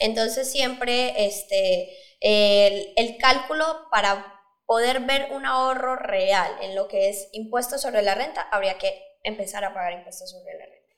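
The clip has an ordinary speaking voice at a fairly slow pace. Pitch variation is ordinary. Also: woman, fairly high pitch for a woman. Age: 20s. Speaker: startup founder. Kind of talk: interview.

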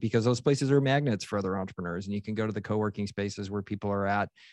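This man has an ordinary speaking voice, fairly low in pitch with fairly even intonation. The sound is dry and close with no echo, and the background is quiet. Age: 40s. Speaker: entrepreneur and investor. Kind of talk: interview.

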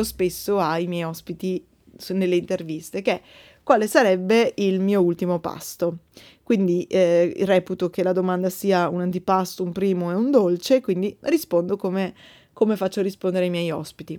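Speech moves along at a moderate pace. Behind it is a silent background on a very clean recording. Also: woman. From Verona, northern Italy. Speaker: podcast host, bread baker. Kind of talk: casual Q&A monologue. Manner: hesitant, many fillers.

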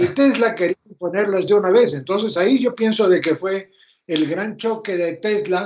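This is a man speaking. He has an Argentine accent. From Argentina. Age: 80s+. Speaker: retired electrical engineer, mentor. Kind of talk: casual interview.

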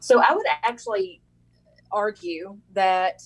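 With an American accent, the woman talks. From Kentucky, Mercer County. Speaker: state politician, former teacher. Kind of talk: interview.

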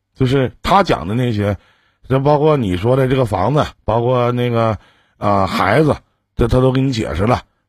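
A man's ordinary speaking voice: medium pitch, moderate speed, ordinary variation in pitch. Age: 40s. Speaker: radio relationship advice host. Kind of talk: call-in advice show.

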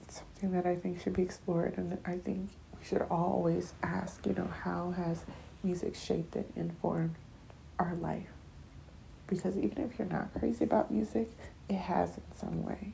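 An American-accented woman at a medium speed, with clearly audible background noise. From Nigerian American family. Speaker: podcast host. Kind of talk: casual solo monologue.

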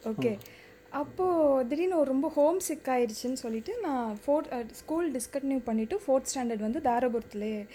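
Her voice is high-pitched with a dark, mellow tone, and this woman's intonation is lively. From Tamil Nadu, Dharapuram area. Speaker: film director. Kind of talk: casual chat.

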